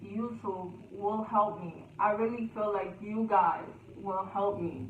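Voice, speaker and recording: Amid noticeable background noise and audible room echo, a woman speaks very slowly at medium pitch in a monotone, flat intonation. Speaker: YouTuber. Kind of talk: storytime vlog. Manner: loud.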